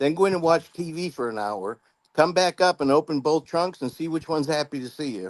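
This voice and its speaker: This man has an unremarkable speaking voice at a fairly high pitch. He talks at a fairly quick pace with lively intonation. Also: dry, close sound with no echo. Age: 60s. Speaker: law enforcement officer. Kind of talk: casual chat.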